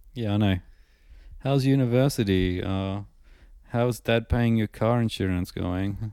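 On a very clean recording with a silent background, a man with a fairly low pitch and an ordinary speaking voice talks at a fairly slow pace with fairly even intonation. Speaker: podcast host. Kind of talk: casual banter podcast chat. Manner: cynical, deadpan, swears a lot.

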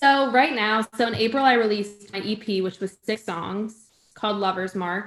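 Using a normal speaking voice, a woman talks at a moderate pace with a fairly high pitch. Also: ordinary pitch variation. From Connecticut, New England. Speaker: singer-songwriter. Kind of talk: casual interview. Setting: video call.

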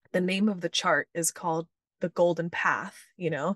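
With a fairly low pitch and fairly even intonation, a woman speaks in a normal speaking voice at a moderate pace, with a dry, close sound with no echo and a quiet background. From Texas (Houston), born in Venezuela. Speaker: human design and gene keys teacher and coach. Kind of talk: interview, explaining concepts.

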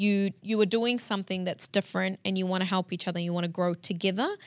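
Fairly quick and fairly even in intonation, a woman speaks in a plain, everyday voice at a medium pitch on a very clean recording with a silent background. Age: 30s. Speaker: entrepreneur and investor. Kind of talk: casual interview.

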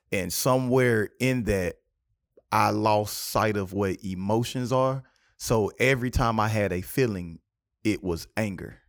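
In a very clean recording with a silent background, a man speaks at a fairly slow pace with a South Carolina accent. His pitch is fairly low, with ordinary pitch variation. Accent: Southern US, South Carolina. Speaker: podcast host. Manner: animated, humorous.

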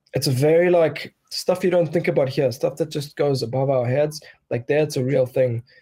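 A somewhat breathy male voice with a dark, mellow tone, fairly even intonation and a moderate pace. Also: fairly high pitch for a man. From Bulgaria; South Africa. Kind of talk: casual chat. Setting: video call.

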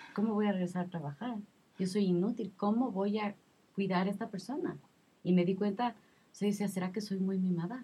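A woman's somewhat breathy, dark, mellow voice at a medium pitch, fairly quick in pace and fairly even in intonation. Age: 30s. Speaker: mother sharing postpartum experience. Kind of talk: testimony.

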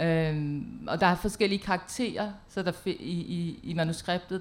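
A woman talks at a very slow pace. Her pitch is fairly low, with ordinary variation. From Denmark. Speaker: poet and playwright. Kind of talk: panel presentation. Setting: stage with audience in a tent. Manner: halting, many fillers.

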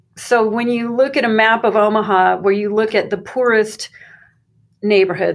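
A woman in a normal speaking voice with an American accent, medium in pitch, at a moderate pace with fairly even intonation, on a very clean recording with a silent background. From Arizona, US (Phoenix). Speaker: graduate student and university employee. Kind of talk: interview.

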